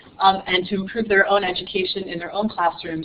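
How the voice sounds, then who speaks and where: A woman with an American accent, medium pitch and fairly even intonation, at a fairly quick pace, over noticeable background noise. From New York City. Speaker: nonprofit director presenting to teachers. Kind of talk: conference presentation. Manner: fast.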